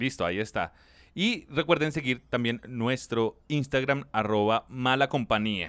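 In a very clean recording with a silent background, a man with a normal speaking voice talks at a fairly slow pace, using medium pitch and ordinary pitch variation. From Colombia, Soacha near Bogotá. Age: 30s. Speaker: podcast co-host. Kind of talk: casual chat.

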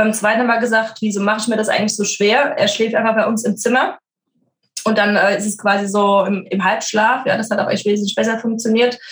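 A somewhat breathy woman's voice, fairly high in pitch, fairly even in intonation, at a fairly quick pace. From Frankfurt, Germany. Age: 30s. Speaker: working mother, corporate employee. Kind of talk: podcast interview.

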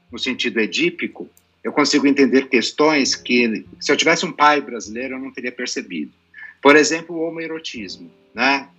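Music plays in the background as a man speaks. His pitch is fairly high, with ordinary variation. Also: big swings in loudness. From Brazil, son of Lebanese father. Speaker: psychologist. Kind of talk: panel discussion.

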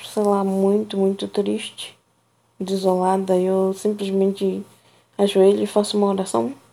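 Speaking at a fairly slow pace, a woman with a medium-pitched voice has a dark, mellow tone and fairly even intonation. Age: 30s. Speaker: personal audio diarist. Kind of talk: personal monologue.

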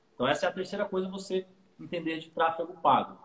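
This man speaks fairly quickly. Vocal fry colors his speech. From Santos, São Paulo coast, Brazil. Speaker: digital marketing agency owner. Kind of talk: casual interview chat.

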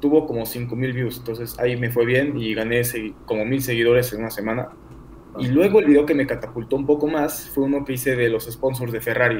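A man talks at a very fast pace and a medium pitch. His intonation stays fairly even. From Mexico City. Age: 20s. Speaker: sports content creator. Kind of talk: casual chat.

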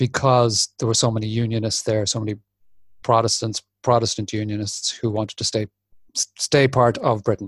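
With a northwest Irish accent, a man speaks at a medium pitch and moderate pace, somewhat breathy and monotone with flat intonation, in a dry, close sound with no echo. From Republic of Ireland, Sligo. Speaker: podcast host. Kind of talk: casual chat. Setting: video call.

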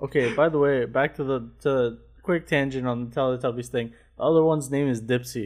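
With an unremarkable speaking voice, a man of medium pitch talks at a fairly quick pace with fairly even intonation against a quiet background. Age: 20s. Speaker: podcast co-host. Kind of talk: casual chat. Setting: video call.

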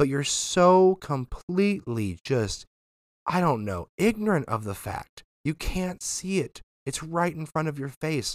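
A fairly high male voice with an American accent, animated tone and lively intonation at a fairly slow pace, in a very clean recording with a silent background and a dry, close sound with no echo. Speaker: podcast host. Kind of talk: news commentary with political opinion, turning into an angry rant. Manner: animated, exasperated, forceful, lecturing and pleading; conversational, sarcastic.

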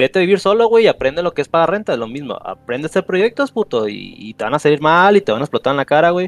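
With a dry, close sound and no echo, a man speaks at a very fast pace in a high pitch with very wide pitch swings. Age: 20s. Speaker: caller. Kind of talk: casual chat. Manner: halting.

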